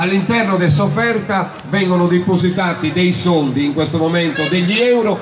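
A man talks over noticeable background noise. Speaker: presenter. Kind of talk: stage announcement explaining a folk dance. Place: stage. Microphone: pa.

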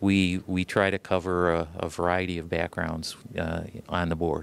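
In an Ohio accent, a man with a very deep, low pitch speaks at a fairly slow pace in a monotone, flat intonation, the sound dry with no echo. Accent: Midwestern American (Ohio). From Ohio, Toledo. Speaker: land conservancy president, environmental lawyer; environmental lawyer. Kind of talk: TV interview. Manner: hesitant, many fillers. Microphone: handheld.

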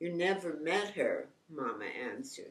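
A woman with an American accent speaks at a very slow pace. Her pitch is fairly low. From New York. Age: 80s+. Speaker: artist and author. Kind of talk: memoir reading. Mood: warm, calm, reminiscent. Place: home room. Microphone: lapel.

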